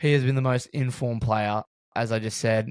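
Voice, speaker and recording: In an Australian accent, a man speaks at a medium pitch and a moderate pace. His intonation is monotone and flat, and the sound is dry and close with no echo. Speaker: sports podcast host. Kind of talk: casual sports podcast chat.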